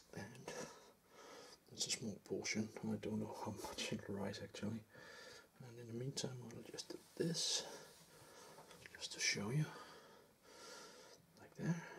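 The voice is soft-spoken and fairly slow, with long, frequent pauses. Light background noise can be heard. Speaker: home cook. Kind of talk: soft-spoken cooking video. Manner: rambling, casual. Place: kitchen.

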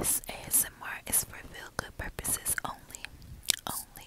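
Whispering, a woman speaks at a fairly slow pace. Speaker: ASMR creator. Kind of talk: ASMR sleep whisper. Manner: soft, repetitive, whispered. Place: car. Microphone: earbuds.

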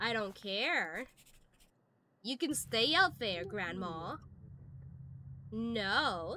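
At a very slow pace with long, frequent pauses, a woman speaks at a medium pitch in a bright, sharp tone with vocal fry and very wide pitch swings. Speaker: VTuber gaming streamer. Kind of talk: live gameplay commentary. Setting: live stream. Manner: animated.

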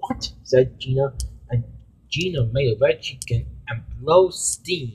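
The recording is plain reading aloud.

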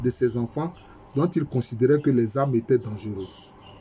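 The voice is somewhat breathy with a dark, mellow tone and lively intonation over light background noise. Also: man. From Ivory Coast. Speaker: history professor. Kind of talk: lecture. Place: home room. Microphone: webcam.

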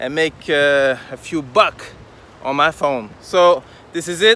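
A man's voice with ordinary pitch variation, dry and without echo. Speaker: travel vlogger. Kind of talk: casual vlog chat. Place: waterside. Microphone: phone near.

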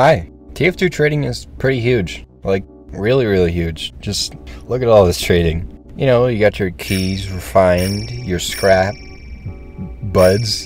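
Music plays behind a man with a very deep, low voice. He speaks at a fairly slow pace with very wide pitch swings. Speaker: gaming video creator. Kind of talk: video essay narration.

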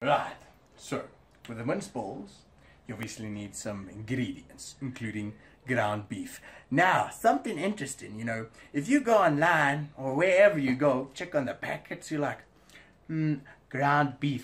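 Long, frequent pauses from a somewhat breathy man at a fairly slow pace, with big swings in loudness. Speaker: home cook host. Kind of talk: casual cooking vlog chat. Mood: jokey, playful. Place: kitchen. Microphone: phone near.

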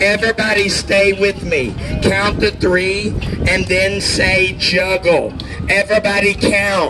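A very slow pace over noticeable background noise. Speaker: street performer. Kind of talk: street performer crowd-work pitch, coaxing cheers and tips. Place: street. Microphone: camera far.

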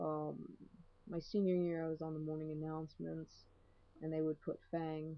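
The speaker is soft-spoken, with a monotone, flat intonation. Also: woman. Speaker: video blogger. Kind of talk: casual vlog monologue. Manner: hesitant, many fillers. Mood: relaxed, amused storytelling. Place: home room. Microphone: webcam.

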